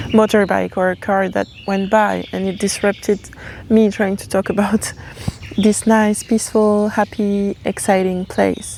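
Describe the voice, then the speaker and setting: A woman with a non-native accent speaks in a monotone, flat intonation. Background noise is noticeable. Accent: non-native English accent, noted by self. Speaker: tarot reader, channeler. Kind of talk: channeled tarot reading. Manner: halting, self-correcting.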